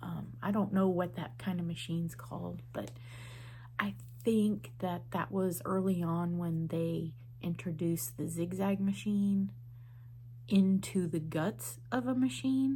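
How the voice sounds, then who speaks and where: A woman talks at a fairly slow pace. Her words carry audible room echo. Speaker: quilting vlogger. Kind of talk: casual vlog monologue. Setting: at home. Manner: soft-spoken.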